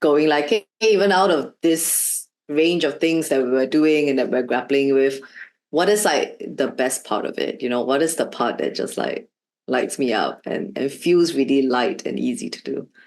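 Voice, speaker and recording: A woman speaks in a very deep, low voice. Her intonation is lively. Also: moderate pace. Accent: Shanghai. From Shanghai, China. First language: Shanghainese. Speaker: learning designer, former art teacher. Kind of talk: interview. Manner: hesitant, many fillers.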